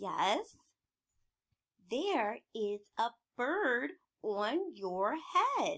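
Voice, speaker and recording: A woman speaks in a put-on character voice, pitched high. She talks very slowly, with long, frequent pauses. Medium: read story. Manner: calm, upbeat.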